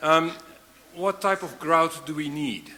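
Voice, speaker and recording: A man with a non-native accent talks at a fairly slow pace. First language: not English. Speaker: panel moderator. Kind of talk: panel discussion. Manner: halting. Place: hall.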